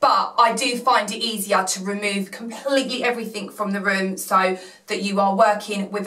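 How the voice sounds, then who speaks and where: A woman speaks at a fairly slow pace. Room echo is audible around her voice. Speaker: cleaning vlogger. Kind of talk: tutorial. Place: home room.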